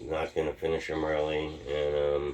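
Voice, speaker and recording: The man's voice is very deep and low in pitch. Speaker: vlogger. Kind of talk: casual vlog monologue. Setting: at home. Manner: mumbling, sometimes slurred; uneven pace.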